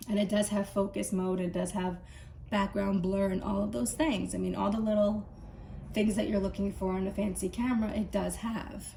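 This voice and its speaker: Noticeable background noise sits under speech at a moderate pace with fairly even intonation. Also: woman, medium pitch for a woman. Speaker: tech reviewer. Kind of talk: casual talk to camera.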